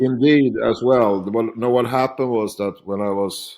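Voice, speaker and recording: With a Swedish accent, a man speaks at a moderate pace and with fairly even intonation. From Sweden, Stockholm. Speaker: painter. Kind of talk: interview. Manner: halting.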